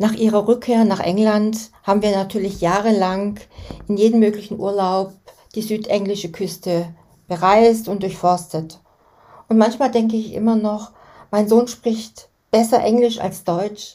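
This woman has a dark, mellow tone at a medium pitch. She speaks in a flat monotone. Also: fairly slow pace. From Germany. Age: 60s. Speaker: podcast host. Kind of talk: scripted narration.

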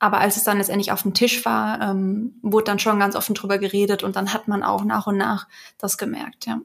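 A woman's medium-pitched voice with vocal fry, fairly quick and fairly even in intonation. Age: 30s. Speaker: patient advocate, works in film industry. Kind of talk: interview testimony. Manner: halting.

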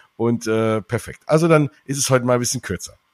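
On a very clean recording with a silent background and a dry, close sound with no echo, a man speaks at a very fast pace with ordinary pitch variation. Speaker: podcast host. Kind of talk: casual chat.

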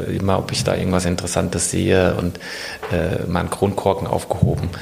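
Against noticeable background noise, a man with a very deep, low pitch speaks at a fairly quick pace. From Rhine-Main area, Hanau near Frankfurt. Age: 40s. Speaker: climate researcher, professor. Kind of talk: interview. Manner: halting, many fillers and repetitions.

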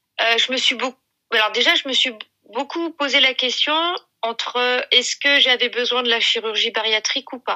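At a moderate pace, a bright, sharp tone carries fairly even intonation in a dry, close sound with no echo. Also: woman, high pitch for a woman. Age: 40s. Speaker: mother of eight sharing weight-loss story. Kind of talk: testimony.

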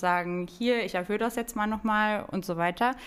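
A woman's ordinary speaking voice with ordinary pitch variation, in a very clean recording with a silent background. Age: 20s. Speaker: real estate financing advisor at a bank. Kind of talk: podcast interview.

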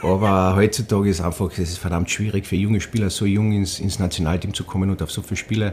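Very fast and monotone, a man talks with flat intonation at a fairly low pitch. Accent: strong Carinthian. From Austria, Carinthia (Villach). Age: 40s. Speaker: ice hockey coach, former player. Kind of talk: casual interview. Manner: hesitant, many repetitions.

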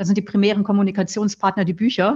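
A woman's voice comes through somewhat breathy. The background is quiet. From northern Germany, near Flensburg. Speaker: nun, author and philosopher. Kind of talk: interview, reflective conversation.

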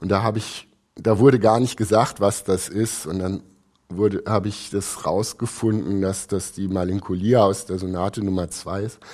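This man talks at a moderate pace with a fairly low pitch and fairly even intonation, on a very clean recording with a silent background. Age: 50s. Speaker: architect and concert subscriber. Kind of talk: podcast interview. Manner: halting, many fillers.

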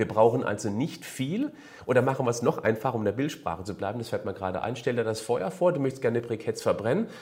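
There is some breathiness in this man's voice. His intonation is lively. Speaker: fitness and nutrition coach. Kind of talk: Q&A advice monologue. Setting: video recording for a channel.

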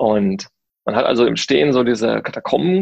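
A man speaks at a moderate pace. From Germany, Paderborn (Westphalia). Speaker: theme park designer. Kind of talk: interview. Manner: hesitant, many filler sounds.

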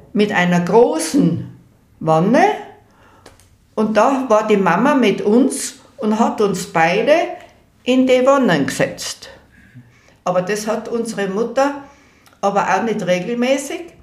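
In a Tyrolean accent, a woman speaks at a very slow pace with long, frequent pauses and lively intonation. Her pitch is fairly high, and there is audible room echo. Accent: Tyrolean Austrian German. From Innsbruck, Tyrol, Austria. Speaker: elderly eyewitness recounting local history. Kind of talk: oral history interview. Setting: at her home.

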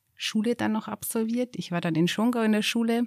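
A woman with an unremarkable speaking voice talks at a fairly high pitch with fairly even intonation in a dry, close sound with no echo. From Upper Bavaria, Garmisch-Partenkirchen district. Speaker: mountain hut operator. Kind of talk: casual chat. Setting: mountain hut.

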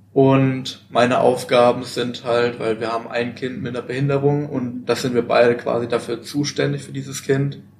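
At a moderate pace with hardly any pauses, the speaker keeps a monotone, flat intonation over noticeable background noise. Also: man, medium pitch for a man. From Baden-Württemberg, Germany. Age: 20s. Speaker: voluntary social year worker in a kindergarten. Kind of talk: casual interview. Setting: at a seminar.

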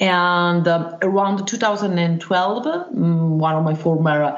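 A woman with an Italian accent speaks at a fairly low pitch with ordinary variation. Noticeable background noise and audible room echo surround her voice. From Italy, Milan. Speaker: wilderness tracker and survival instructor. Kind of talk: interview. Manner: hesitant, many filler sounds.

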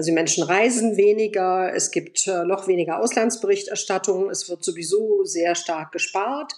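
At a moderate pace and with hardly any pauses, a woman talks at a medium pitch with ordinary pitch variation, in an unremarkable speaking voice. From Germany (Bonn) and Moscow. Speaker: journalist and editor, Eastern Europe expert. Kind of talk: interview.

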